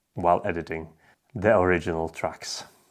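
A man's very deep, low voice against a quiet background. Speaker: tech video creator. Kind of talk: casual vlog chat. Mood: apologetic, upbeat. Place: home room.

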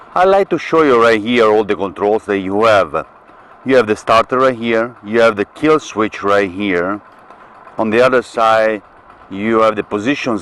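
Ordinary pitch variation at a moderate pace, with a dry sound and no echo. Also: man. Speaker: vlogger. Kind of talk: tutorial. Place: motorbike. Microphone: camera far.

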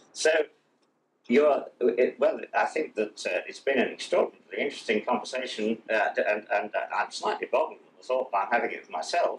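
A man with an English accent speaks at a moderate pace with long, frequent pauses over light background noise. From England. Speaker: television interviewer. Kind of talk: interview. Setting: studio. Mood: friendly, amused. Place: home room. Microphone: old recording.

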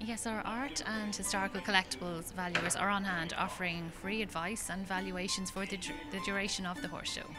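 A woman talks at a fairly quick pace with a medium pitch and ordinary pitch variation. Clear music plays in the background. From Ireland. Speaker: art auctioneer spokesperson. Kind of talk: interview answer. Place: hall.

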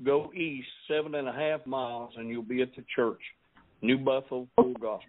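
The speaker has a Southern US accent and a moderate pace. The intonation is fairly even, while the loudness swings widely. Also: man, medium pitch for a man. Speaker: pastor. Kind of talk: interview. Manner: preachy.

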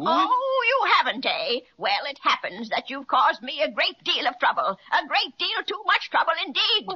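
In a put-on character voice, a female-sounding speaker goes extremely high in pitch with very wide pitch swings, keeping a moderate pace with hardly any pauses. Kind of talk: 1930s children's radio serial. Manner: menacing, gloating.

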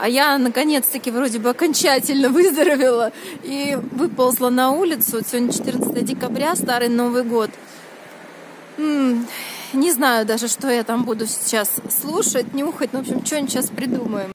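A woman's voice at a moderate pace with long, frequent pauses and ordinary pitch variation, dry with no echo, over noticeable background noise. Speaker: vlogger. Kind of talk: casual vlog chat. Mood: cheerful, chatty. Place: street. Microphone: phone near.

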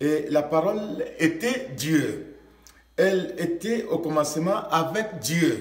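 A man's high-pitched voice at a very slow pace, with very even loudness and audible room echo. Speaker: pastor. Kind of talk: sermon. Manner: preacherly, fervent. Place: studio.

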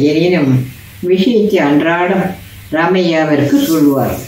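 A woman speaks at a fairly low pitch. Audible room echo surrounds her voice. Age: old. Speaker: storyteller. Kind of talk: bedtime story narration. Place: home room. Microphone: phone near.

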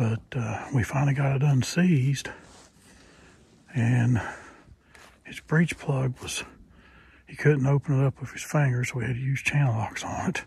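A somewhat breathy man at a fairly slow pace with ordinary pitch variation, in a dry sound with no echo. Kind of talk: casual vlog chat. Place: forest. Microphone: phone near.

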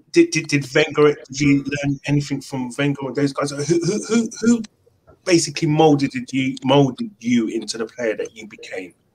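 A man in a London accent, fairly high in pitch and somewhat breathy, with lively intonation, big swings in loudness, a moderate pace and light background noise. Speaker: football podcast host; show host asking questions. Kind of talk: casual chat. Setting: video call. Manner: animated. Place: home room. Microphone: video call.

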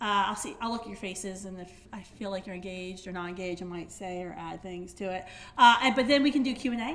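Light background noise accompanies a woman speaking at a very fast pace. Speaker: speaker. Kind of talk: public talk. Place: hall. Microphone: podium.

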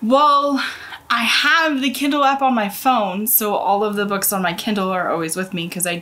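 With lively intonation, a woman speaks at a moderate pace. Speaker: book vlogger. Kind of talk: casual vlog chat. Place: home room.

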